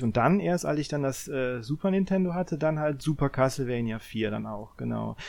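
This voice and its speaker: With lively intonation and a medium pitch, a man speaks at a moderate pace on a very clean recording with a silent background. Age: 40s. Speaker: video game podcast panelist. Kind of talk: casual chat. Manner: halting, many fillers and repetitions.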